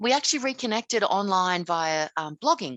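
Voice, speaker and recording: Recorded with a dry, close sound and no echo, a woman talks at a moderate pace in an Australian accent. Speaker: author and writing teacher. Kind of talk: casual interview. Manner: hesitant, with many fillers.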